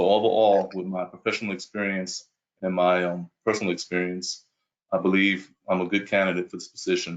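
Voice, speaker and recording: A man with a New York accent talks at a fairly quick pace in a very deep, low pitch, his intonation monotone and flat. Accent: New York accent, noticeable. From Brooklyn, New York. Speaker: police chief candidate. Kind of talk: job interview answers at virtual town hall. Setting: video call.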